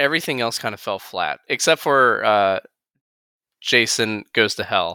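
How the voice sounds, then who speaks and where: At a moderate pace, a bright, sharp tone comes through dry and close with no echo in a very clean recording with a silent background. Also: man, medium pitch for a man. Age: 30s. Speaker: film podcast co-host. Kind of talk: casual chat. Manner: halting.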